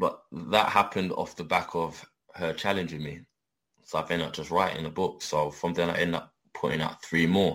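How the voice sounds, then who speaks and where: With a London accent, a man speaks at a fairly quick pace with a very deep, low pitch and monotone, flat intonation on a very clean recording with a silent background. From London, England. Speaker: adult film performer. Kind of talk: casual interview.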